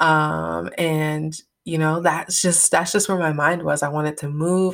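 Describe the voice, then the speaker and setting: A woman with an American accent speaks at a moderate pace in a very deep, low pitch. Her intonation is monotone and flat, on a very clean recording with a silent background. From upstate New York. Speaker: podcast host. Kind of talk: solo podcast monologue. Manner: casual, filler-heavy; occasionally stumbling.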